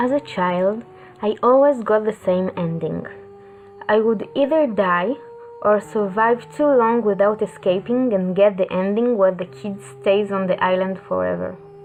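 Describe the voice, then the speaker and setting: Music plays in the background. The speaker has a non-native accent and lively intonation. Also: woman, medium pitch for a woman, fairly slow pace. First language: not English. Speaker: video game reviewer. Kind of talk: scripted narration.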